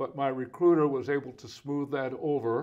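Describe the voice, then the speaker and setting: A man talks with a Californian accent at a fairly high pitch. His intonation stays fairly even. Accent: General American, Californian. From US West Coast (Los Angeles area). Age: 70s. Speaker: pastor. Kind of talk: autobiographical talk. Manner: casual, with many fillers.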